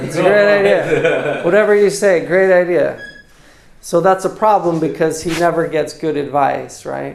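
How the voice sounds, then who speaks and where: With an American accent and fairly even intonation, a man speaks at a high pitch over noticeable background noise. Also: moderate pace. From United States. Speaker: English teacher. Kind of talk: casual English lesson dialogue.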